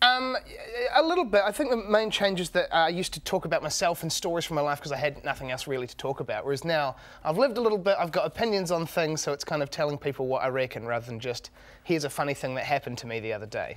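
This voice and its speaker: Speaking at a very fast pace, a man with a New Zealand accent uses a fairly high pitch with very wide pitch swings. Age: 20s. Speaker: comedian. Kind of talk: casual chat. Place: studio.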